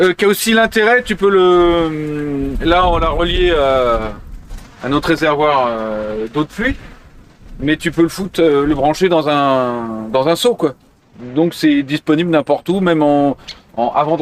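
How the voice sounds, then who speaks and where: The man's pitch is fairly high and his intonation lively. He talks at a fairly slow pace. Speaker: bike cleaning tutorial presenter. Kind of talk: outdoor tutorial demo. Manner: casual, hesitant with fillers.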